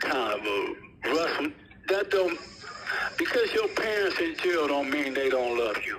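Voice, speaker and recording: Speaking at a fairly slow pace with long, frequent pauses, a man uses a fairly high pitch and very wide pitch swings, with noticeable background noise and audible room echo. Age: 60s. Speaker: prison inmate, gang founder. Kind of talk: interview.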